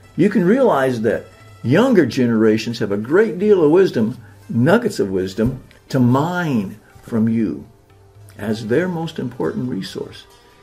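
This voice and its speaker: Music plays in the background as a man speaks at a fairly slow pace with very wide pitch swings. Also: medium pitch for a man. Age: old. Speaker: hypnotist. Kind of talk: promotional talk to camera.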